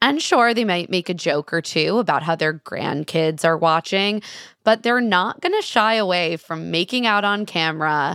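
Recorded very cleanly against a silent background, with a dry, close sound and no echo, a woman speaks at a moderate pace. Hers is a plain, everyday voice, fairly low in pitch with ordinary pitch variation. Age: 30s. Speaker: journalist and podcast host. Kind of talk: interview.

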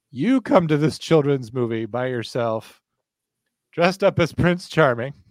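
Using a plain, everyday voice, a man speaks at a fairly slow pace with lively intonation and a fairly high pitch. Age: 30s. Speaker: podcast host and 911 dispatcher. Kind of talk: casual chat.

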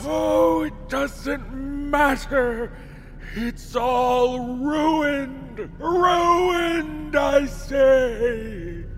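A man shouting very slowly in a put-on character voice, over clear background noise. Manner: whiny, panicked, melodramatic.

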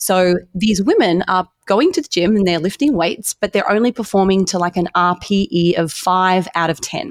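A woman with an Australian accent at a medium pitch and moderate pace, with ordinary pitch variation, hardly any pauses, and a dry, close sound with no echo. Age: 30s. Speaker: dietitian and fitness coach. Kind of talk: interview.

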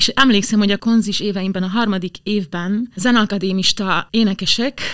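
An unremarkable speaking voice moves at a moderate pace with fairly even intonation. The recording is very clean, with a silent background. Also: woman. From southern Slovakia (Hungarian minority). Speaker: opera singer. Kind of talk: interview.

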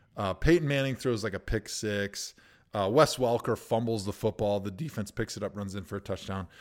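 Recorded very cleanly against a silent background, a man speaks in a plain, everyday voice at a fairly low pitch with ordinary pitch variation. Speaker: podcast co-host, former NFL lineman. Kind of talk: casual sports chat.

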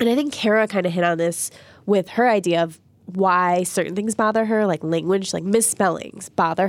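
A woman with an unremarkable speaking voice talks at a moderate pace and a medium pitch. Her pitch variation is ordinary, and the recording is very clean with a silent background. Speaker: podcast host. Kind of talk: casual chat.

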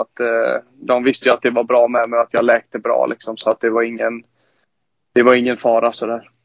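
A man's medium-pitched voice at a moderate pace. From western Sweden, Lerum near Gothenburg. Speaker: professional ice hockey player. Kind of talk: casual interview.

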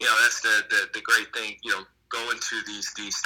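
This is a man speaking with a Dutch accent. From Netherlands. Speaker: former professional footballer. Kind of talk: interview. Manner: halting.

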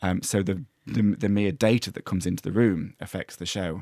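In a very clean recording with a silent background, this man's speech runs fairly quick. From English East Midlands, Mansfield. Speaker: playwright and screenwriter. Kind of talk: casual interview chat. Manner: halting, many fillers and restarts.

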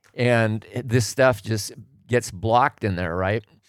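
A man speaks with a General American accent in a normal speaking voice, his intonation fairly even. The recording is very clean, with a silent background. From Oregon, US Pacific Northwest. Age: 60s. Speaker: retired tradesman, host's father. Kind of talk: casual chat.

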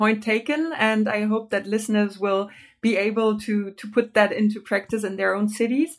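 Recorded very cleanly against a silent background, a woman talks at a fairly high pitch. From Germany. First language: German. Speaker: podcast host. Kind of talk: interview.

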